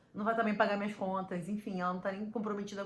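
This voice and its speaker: A woman's medium-pitched voice carries audible room echo along with noticeable background noise. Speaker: podcaster and business coach. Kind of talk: motivational talk to camera. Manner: fast.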